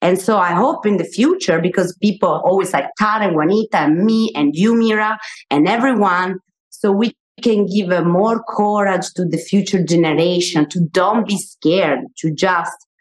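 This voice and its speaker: An Italian accent comes through at a moderate pace with ordinary pitch variation. Loudness stays very even throughout. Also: woman, medium pitch for a woman. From Italy. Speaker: media personality and author. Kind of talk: live panel discussion. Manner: halting.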